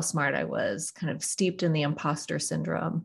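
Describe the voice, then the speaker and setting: A woman talks at a moderate pace with vocal fry. Her pitch is very deep and low. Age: 40s to 50s (Gen X). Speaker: executive coach. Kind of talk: interview.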